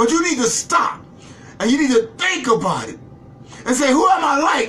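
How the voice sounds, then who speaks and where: A man uses a raised, projected voice with an animated tone and very wide pitch swings. Noticeable background noise sits behind him. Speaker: Bible class preacher. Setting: live online video stream.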